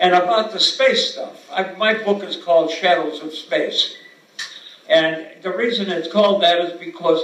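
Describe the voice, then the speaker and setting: A man talks at a fairly slow pace in a high pitch. Noticeable background noise can be heard. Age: 80s+. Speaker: actor, improv performer, author. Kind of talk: award acceptance speech.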